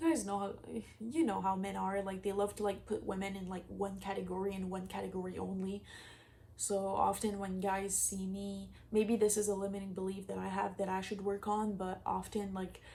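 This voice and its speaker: In a room with audible echo, a woman of medium pitch speaks at a moderate pace in a dark, mellow, somewhat breathy tone, her intonation monotone and flat. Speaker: manifestation coach. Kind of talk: casual vlog advice. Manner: casual, filler-heavy speech.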